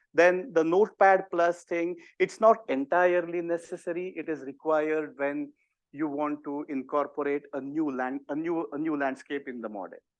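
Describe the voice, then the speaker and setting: Here a man speaks with an Indian accent. His pitch is fairly high. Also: ordinary pitch variation, moderate pace. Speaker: university professor and disease modeler. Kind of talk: workshop tutorial. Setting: in-person workshop also streamed on video call.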